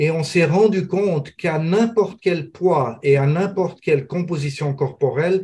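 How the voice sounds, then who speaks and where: At a fairly slow pace, a man speaks in a dark, mellow tone that is somewhat breathy. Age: 70s. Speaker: professor and metabolism researcher. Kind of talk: interview.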